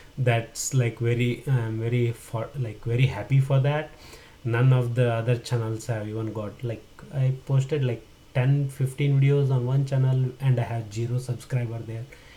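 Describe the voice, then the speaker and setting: Flat, monotone intonation in a Kannada accent at a moderate pace. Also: man, medium pitch for a man. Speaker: tech tutorial YouTuber. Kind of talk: casual vlog talk to camera. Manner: hesitant, many fillers.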